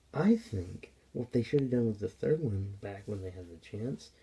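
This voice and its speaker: A somewhat breathy man at a medium pitch, dark and mellow in tone, with ordinary pitch variation and a moderate pace. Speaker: gaming YouTuber. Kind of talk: game commentary vlog. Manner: hesitant with fillers; whispering.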